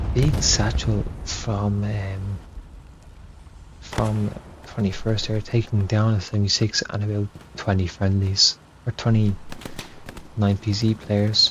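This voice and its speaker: A soft-spoken man talks very slowly at a fairly low pitch, with monotone, flat intonation. Long, frequent pauses break up his speech, and noticeable background noise sits behind it. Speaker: esports caster. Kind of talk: live commentary.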